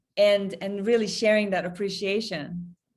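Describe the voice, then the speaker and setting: A woman speaks at a medium pitch with a non-native accent. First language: not English. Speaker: interviewer, trust and resilience practitioner. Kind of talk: interview.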